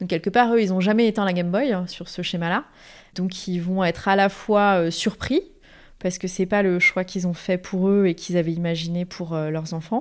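A woman at a medium pitch and moderate pace, fairly even in intonation, on a very clean recording with a silent background. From Paris region, France. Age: 30s. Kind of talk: interview testimony. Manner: hesitant, many fillers.

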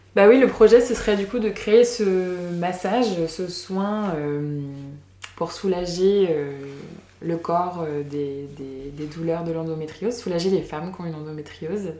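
A woman's fairly low voice with ordinary pitch variation at a fairly slow pace, noticeable background noise, and audible room echo. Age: 30s. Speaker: massage therapist and singer. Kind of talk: casual interview. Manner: halting.

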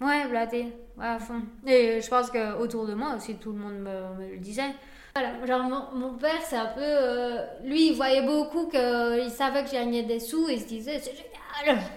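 A woman's high pitch with ordinary pitch variation, big swings in loudness and a fairly slow pace, in audible room echo. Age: 20s. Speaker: restaurant owner and food influencer. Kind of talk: casual interview. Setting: in her restaurant.

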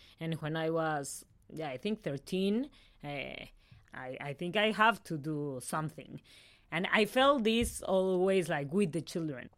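In a Mexican accent, a woman speaks fairly slowly with lively intonation and fairly low pitch, recorded very cleanly over a silent background. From Mexico City, Mexico. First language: Spanish. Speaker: psychologist working with women in prison. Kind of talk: interview testimony. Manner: halting.

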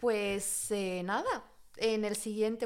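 The voice is an ordinary speaking voice with ordinary pitch variation. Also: woman. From Spain. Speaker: podcast co-host. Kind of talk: casual chat.

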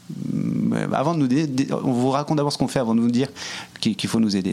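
Noticeable background noise behind a male voice with ordinary pitch variation. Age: 40s. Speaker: entrepreneur, nonprofit social network co-founder. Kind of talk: interview. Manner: halting, many repetitions.

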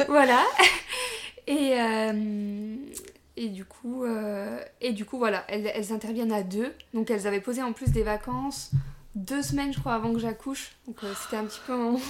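Long, frequent pauses break up a woman's fairly high voice, which moves at a fairly slow pace with ordinary pitch variation. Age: 20s. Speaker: young mother sharing birth story. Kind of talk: casual interview. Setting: at guest's home.

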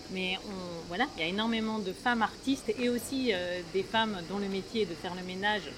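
A woman's medium-pitched voice, with ordinary pitch variation, moves at a fairly quick pace over noticeable background noise. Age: 50s. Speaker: playwright and theatre director. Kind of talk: interview. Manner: hesitant, many fillers.

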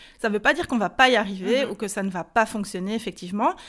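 Energetic in tone, a woman speaks with a Belgian accent at a fairly high pitch. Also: very clean recording, silent background. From Belgium. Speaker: online business coach. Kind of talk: interview.

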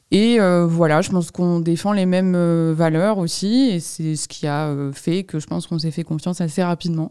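A woman with a fairly low pitch and a dark, mellow tone talks at a moderate pace with ordinary pitch variation. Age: 20s. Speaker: nonprofit director. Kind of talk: interview. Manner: hesitant, many fillers.

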